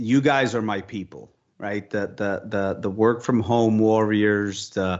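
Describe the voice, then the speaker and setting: The speaker is a man with a medium pitch. His pace is fairly slow. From Dominican Republic, raised in New York and New Jersey. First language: Spanish. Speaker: marketing executive. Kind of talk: interview. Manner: halting, many repetitions and fillers.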